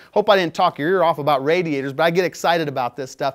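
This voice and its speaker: Over a quiet background, a man talks at a fairly quick pace. He shows ordinary pitch variation. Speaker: presenter. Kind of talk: product tech talk. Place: studio.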